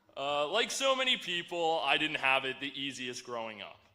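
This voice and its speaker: A man with a fairly high pitch and ordinary pitch variation talks at a fairly slow pace amid noticeable background noise. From New Jersey / New York area. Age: 20s. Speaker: graduating student speaker. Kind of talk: commencement speech.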